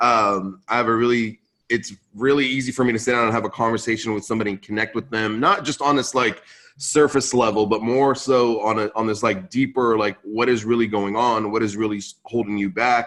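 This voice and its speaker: Using a West Coast American accent, a man speaks at a fairly quick pace with a medium pitch and fairly even intonation. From Central California, US (moved from Lebanon at 5). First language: Arabic (English second language). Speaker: podcast host and conference founder. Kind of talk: podcast interview. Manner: casual, filler-heavy.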